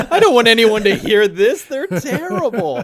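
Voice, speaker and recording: Background noise is noticeable as a man talks. He keeps a moderate pace with lively intonation. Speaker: YouTube movie reviewer. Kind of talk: casual interview chat. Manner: natural conversational, not radio voice; hesitant, many fillers.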